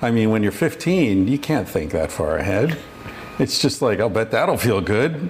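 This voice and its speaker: With noticeable background noise around him, a man of medium pitch speaks with very wide pitch swings while keeping his loudness very even. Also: moderate pace. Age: 50s. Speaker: podcast host. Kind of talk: solo monologue; casual chat. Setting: in a home kitchen.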